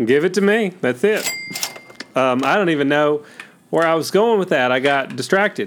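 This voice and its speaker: Noticeable background noise surrounds a man speaking at a moderate pace in a fairly high pitch and an animated tone. Long pauses come often. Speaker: comedy podcast co-host. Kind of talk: comedy sketch chat. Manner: animated, joking.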